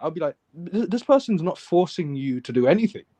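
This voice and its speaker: With a British accent and a dark, mellow tone, a man speaks at a moderate pace in a dry, close sound with no echo over a quiet background. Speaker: livestream host. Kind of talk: casual chat. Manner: halting.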